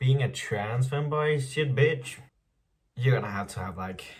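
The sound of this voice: Ordinary pitch variation in a man's speech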